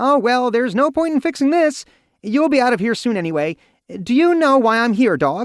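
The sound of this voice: A squeaky, put-on character voice from a man, extremely high-pitched, at a fairly quick pace, in a very clean recording with a silent background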